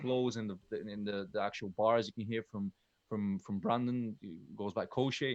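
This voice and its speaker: At a moderate pace, a man speaks in a dry, close recording with no echo. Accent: Bulgarian. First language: Bulgarian. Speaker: rapper. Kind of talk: casual chat. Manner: halting.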